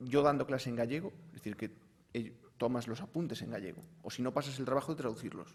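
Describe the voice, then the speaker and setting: A man speaks at a medium pitch and a fairly quick pace with a Galician accent. His pitch varies in an ordinary way. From Galicia, Spain. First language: Galician (speaking Spanish). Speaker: university professor. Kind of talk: panel discussion. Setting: conference panel.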